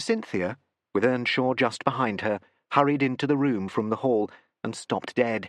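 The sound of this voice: Ordinary pitch variation marks an unforced reading voice heard against a quiet background.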